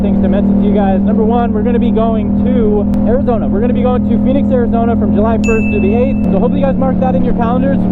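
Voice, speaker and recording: A man's high voice at a very fast pace, hardly any pauses, very even loudness and a monotone, flat intonation, over noticeable background noise. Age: 20s. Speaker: motorcycle vlogger. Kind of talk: casual vlog talk.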